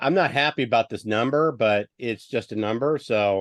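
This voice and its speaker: Against a quiet background, a man talks at a moderate pace with ordinary pitch variation in an ordinary speaking voice, the sound dry and close with no echo. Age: 50s. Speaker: sports podcast host. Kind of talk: casual chat.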